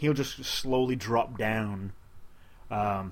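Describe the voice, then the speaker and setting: A man with a plain, everyday voice talks at a medium pitch and fairly even intonation. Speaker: podcast host. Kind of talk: casual chat.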